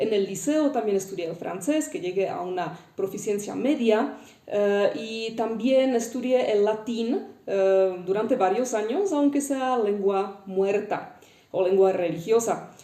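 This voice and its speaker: A woman with a Czech accent speaks at a fairly slow pace and fairly high pitch with lively intonation, amid noticeable background noise and audible room echo. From Czech Republic. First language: Czech (speaking Spanish). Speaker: linguist. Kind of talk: educational talk. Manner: frequent hesitations (eh).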